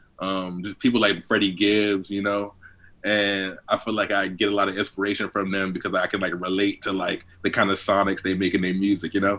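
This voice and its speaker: This man's voice is fairly low, with a bright, sharp tone. His intonation is monotone and flat. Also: very clean recording, silent background. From Washington DC (Southeast DC). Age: 20s. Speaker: rapper. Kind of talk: interview. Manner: casual, many fillers.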